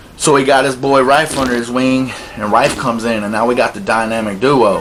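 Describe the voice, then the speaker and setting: Noticeable background noise and audible room echo surround a man speaking at medium pitch with ordinary pitch variation. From South Carolina. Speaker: documentary interviewee. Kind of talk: interview testimony. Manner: casual.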